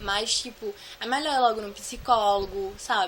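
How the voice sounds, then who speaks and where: A fairly high-pitched woman's voice with noticeable background noise. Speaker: vlogger sharing anxiety disorder experience. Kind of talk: casual Q&A vlog. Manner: fast.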